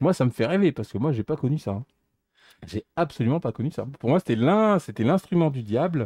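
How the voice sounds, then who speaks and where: Over a quiet background, a man talks at a fairly quick pace with very wide pitch swings and a dark, mellow tone, the sound dry with no echo. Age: 40s. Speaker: retro gamer; DIY streamer repairing controller. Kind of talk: casual chat. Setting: live stream. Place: workshop.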